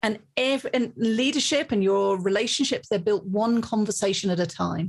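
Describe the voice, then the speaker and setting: A somewhat breathy woman's voice, fairly high-pitched, at a moderate pace, with ordinary pitch variation. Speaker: leadership author and keynote speaker. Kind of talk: interview conversation. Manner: talkative, long answers.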